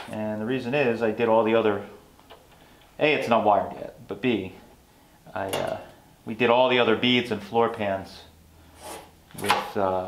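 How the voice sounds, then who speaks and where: The speech moves at a fairly slow pace with fairly even intonation and long, frequent pauses. Background noise is noticeable. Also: man. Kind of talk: casual shop tutorial chat. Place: workshop.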